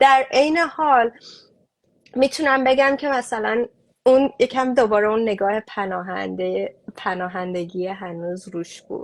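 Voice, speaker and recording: At a very slow pace, a woman with a fairly high pitch speaks with lively intonation and big swings in loudness. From Iran, Mashhad. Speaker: refugee aid activist. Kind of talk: interview conversation. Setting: online live stream.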